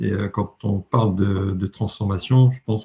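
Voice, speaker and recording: Somewhat breathy, a man speaks at a moderate pace. His voice is fairly low, with a dark, mellow tone. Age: 60s. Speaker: leadership coach. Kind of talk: webinar presentation. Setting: online webinar. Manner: hesitant, self-correcting.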